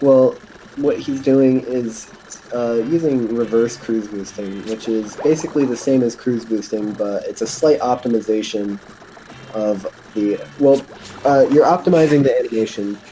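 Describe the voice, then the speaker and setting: Noticeable noise sits in the background. The talking goes at a moderate speed. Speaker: speedrun commentator. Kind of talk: live commentary. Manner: halting.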